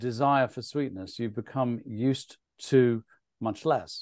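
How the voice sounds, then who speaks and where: This man's voice sits at a medium pitch and keeps a fairly even intonation. He talks at a very slow pace. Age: 60s. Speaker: nutrition author and speaker. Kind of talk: webinar presentation Q&A.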